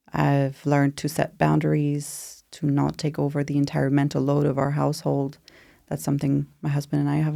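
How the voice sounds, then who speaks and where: In a very clean recording with a silent background, a voice with a French accent holds very even loudness at a moderate pace. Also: woman. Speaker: postpartum doula. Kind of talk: podcast interview.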